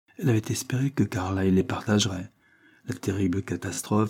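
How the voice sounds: The voice reads naturally. Throughout, it remains a natural reading voice.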